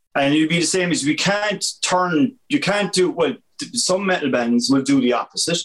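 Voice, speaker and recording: In a Limerick accent, a man speaks at a high pitch with very wide pitch swings and very even loudness. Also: moderate pace. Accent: Irish (Limerick). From Ireland, County Limerick. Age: 40s. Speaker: graphic artist and college lecturer. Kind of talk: casual chat.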